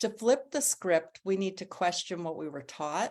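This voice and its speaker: Speaking in an ordinary speaking voice, a woman keeps a fairly low pitch, a moderate pace and ordinary pitch variation. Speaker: author, writing coach and women's speaker. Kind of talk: motivational talk to an online women's gathering.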